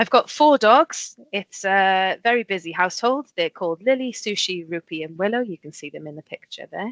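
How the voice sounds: A woman speaks at a moderate pace with a medium pitch, lively intonation and a fairly bright tone, in a dry, close sound with no echo.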